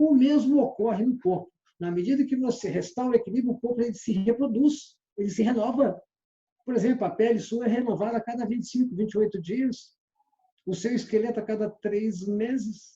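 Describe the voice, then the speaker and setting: A man's voice is extremely high in pitch yet dark and mellow in tone. He talks at a fairly quick pace with ordinary pitch variation. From Minas Gerais, Brazil (Belo Horizonte). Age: 60s. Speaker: sales trainer. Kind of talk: lecture.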